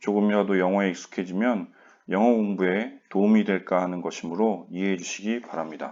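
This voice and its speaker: A man at a fairly low pitch and fairly quick pace, with fairly even intonation over a quiet background. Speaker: high school PE teacher. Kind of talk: online class lecture. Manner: monotone.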